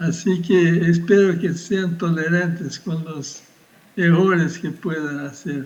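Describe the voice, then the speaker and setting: The speaker talks very slowly in a Portuguese accent, with audible room echo. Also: man, high pitch for a man. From Brazil. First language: Portuguese (speaking Spanish). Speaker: physics professor. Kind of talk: lecture. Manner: halting.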